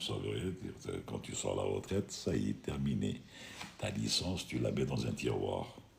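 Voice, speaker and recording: Amid noticeable background noise and audible room echo, a man with a very deep, low pitch speaks at a moderate pace with lively intonation. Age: 60s. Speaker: retired airline pilot hosting a live stream. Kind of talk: live stream Q&A chat. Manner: casual, conversational.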